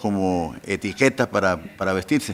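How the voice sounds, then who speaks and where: A man speaks at a very slow pace. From Colombia. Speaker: pastor. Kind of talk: interview. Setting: podcast recording.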